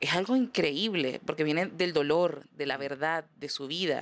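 Recorded very cleanly over a silent background, a woman with an ordinary speaking voice uses lively intonation. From Venezuela. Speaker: comedian. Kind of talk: casual chat.

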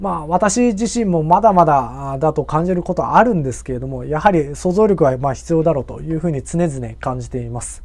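Big swings in loudness from a man speaking at a fairly quick pace. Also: hardly any pauses. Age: 30s. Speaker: lawyer hosting a solo podcast. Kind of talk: solo podcast monologue. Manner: polite, scripted delivery with many fillers.

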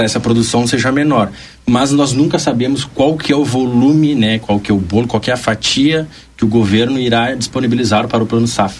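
Very even in loudness, a man's voice comes through noticeable background noise. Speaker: bank representative. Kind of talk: radio interview.

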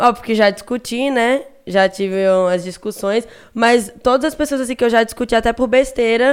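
The woman's voice sits fairly high in pitch. The recording is very clean, with a silent background. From Recife, Brazil. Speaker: internet personality. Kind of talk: casual chat. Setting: studio. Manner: animated.

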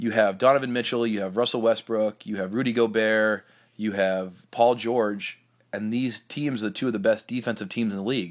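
A man with a normal speaking voice and medium pitch talks at a moderate pace with fairly even intonation against a quiet background. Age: 30s. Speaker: basketball coaching podcast host. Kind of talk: casual solo podcast talk. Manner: frequent fillers like um and uh.

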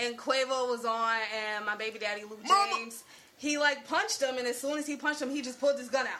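A woman's very fast, raised and projected voice with an American accent, high in pitch, with ordinary pitch variation and noticeable background noise. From Newark, New Jersey. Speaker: podcast guest. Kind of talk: casual chat.

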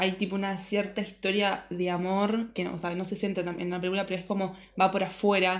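Flat, monotone speech moves at a moderate pace, with audible room echo. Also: woman. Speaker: podcast co-host. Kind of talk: casual chat.

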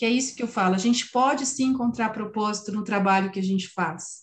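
Fairly high, somewhat breathy, a woman's voice with ordinary pitch variation. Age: 50s. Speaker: podcast host and family constellation therapist. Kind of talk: casual chat.

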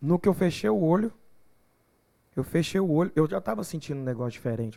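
Very fast speech comes from a man with a dark, mellow tone. The recording is very clean with a silent background. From Goiás, Brazil (São Miguel do Araguaia). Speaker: gospel singer. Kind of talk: casual chat.

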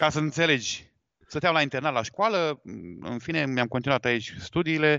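At a moderate pace, a man speaks in a fairly high pitch with a normal speaking voice. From Galați, eastern Romania (Moldova region). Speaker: wedding photographer. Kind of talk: casual interview on live podcast.

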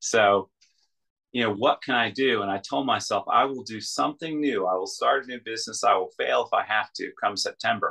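The man talks at a fairly quick pace, the sound dry and close with no echo. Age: 40s. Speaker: guest sharing life story. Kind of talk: casual interview testimony.

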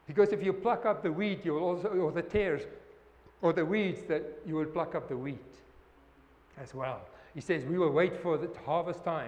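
At a moderate pace broken by long, frequent pauses, a man with a high pitch talks in a non-native accent. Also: ordinary pitch variation. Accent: non-native accent, self-noted. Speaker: pastor or bible teacher. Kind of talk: bible study teaching. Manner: halting, repetitive.

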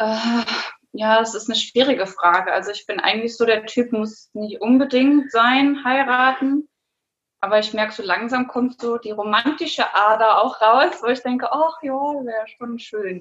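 A woman with an unremarkable speaking voice talks at a moderate pace in a fairly high pitch, with ordinary pitch variation. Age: 30s. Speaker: adult educator. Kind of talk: casual interview.

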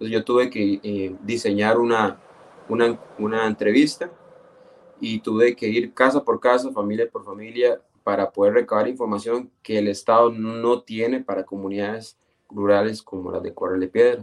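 The voice is monotone and flat, at a moderate pace, with a dry, close sound and no echo. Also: man, medium pitch for a man. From Costa Rica, Esparza (Puntarenas). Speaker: geographer, municipal urban planner. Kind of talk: radio interview. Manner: halting, frequent repetitions.

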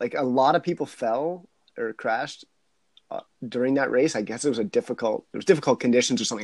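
An unremarkable speaking voice at a fairly quick pace, with ordinary pitch variation and a dry, close sound with no echo. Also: man. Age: 40s. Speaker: wildlife biologist and adventurer. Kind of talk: casual chat.

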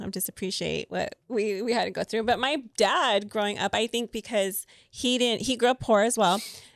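A woman with an American accent uses a normal speaking voice, fairly high in pitch, at a moderate pace. The recording is very clean with a silent background and a dry, close sound with no echo. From US, Mexican American community. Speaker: podcast co-host. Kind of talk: casual chat.

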